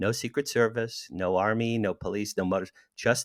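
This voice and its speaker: Recorded very clean with a silent background and a dry, close sound with no echo, a man with an American accent speaks at a fairly quick pace. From New Jersey, near Asbury Park. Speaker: author and entertainment publicist. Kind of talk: casual chat. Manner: animated.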